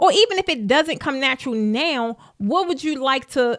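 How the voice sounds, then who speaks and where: In a Baltimore accent, a woman sounds animated, her high pitch moving in very wide swings. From US, Baltimore, Maryland. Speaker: business coach. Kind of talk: live stream talk. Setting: live stream.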